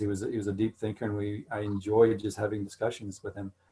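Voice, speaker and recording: With an American accent, a man speaks at a fairly quick pace in a fairly low pitch, somewhat breathy. His tone is dark and mellow, and his intonation is monotone and flat. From Missouri, US Midwest. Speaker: author. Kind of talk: Q&A talk. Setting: video call.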